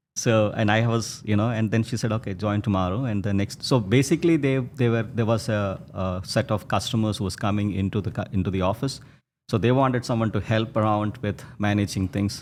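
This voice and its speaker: A man with a Keralan accent speaks at a fairly quick pace with ordinary pitch variation on a very clean recording with a silent background. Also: fairly low pitch for a man. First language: Malayalam. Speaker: textile entrepreneur. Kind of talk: interview storytelling. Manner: halting, many fillers and restarts.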